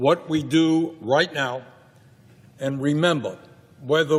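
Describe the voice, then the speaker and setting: A man with a fairly high voice and an American accent speaks at a very slow pace. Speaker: politician. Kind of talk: political rally speech. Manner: fiery, passionate.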